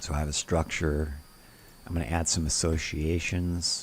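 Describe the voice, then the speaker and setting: Very deep and low, a man's voice comes out somewhat breathy. He keeps a moderate pace with monotone, flat intonation. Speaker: software tutorial presenter. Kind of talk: tutorial.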